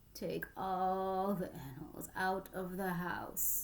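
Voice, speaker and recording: Putting on a character voice, a woman speaks at a very slow pace and a medium pitch. Her intonation is fairly even, and there is clear background noise. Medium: read story. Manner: calm, deliberate.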